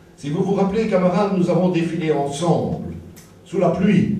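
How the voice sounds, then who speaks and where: The clip carries noticeable background noise and audible room echo. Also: man. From Belgium, Liège area. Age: 60s. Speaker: political activist, author. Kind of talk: political rally speech.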